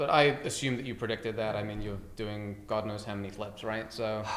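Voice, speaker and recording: Speaking fairly quickly, a man with an American accent uses a fairly low pitch and fairly even intonation, with room echo audible. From England. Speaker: mortgage broker. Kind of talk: casual interview chat.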